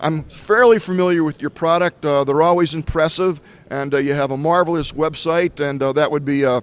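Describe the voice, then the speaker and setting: Speaking at a fairly quick pace in an ordinary speaking voice, a man with a fairly high pitch and an American accent keeps his intonation fairly even. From US Northeast, Boston North Shore. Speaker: tech show host. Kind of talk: trade show interview. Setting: trade show floor.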